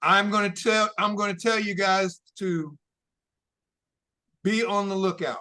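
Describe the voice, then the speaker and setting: Raising and projecting his high, bright, sharp voice, a man speaks in a flat monotone at a fairly slow pace with long, frequent pauses. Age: 70s. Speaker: travel consultant. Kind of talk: interview giving practical advice. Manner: conversational.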